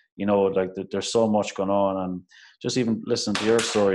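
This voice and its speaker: His pitch is fairly low. The man speaks in a monotone, flat intonation. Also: quiet background. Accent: Irish Midlands. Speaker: podcast host, primary teacher. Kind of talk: casual chat.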